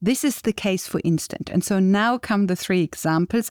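A woman with a non-native accent speaks at a medium pitch in a dark, mellow tone, with a dry, close sound with no echo in a very clean recording with a silent background. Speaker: podcast host. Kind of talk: educational discussion. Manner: explanatory.

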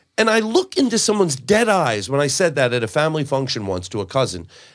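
Music plays in the background as a man talks at a fairly quick pace with very wide pitch swings. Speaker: comedian guest. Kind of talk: casual chat.

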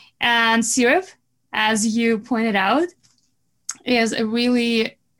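A woman's fairly high voice with a Russian accent, on a very clean recording with a silent background. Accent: Russian-sounding. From Belarus. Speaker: marketing business owner. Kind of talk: podcast interview.

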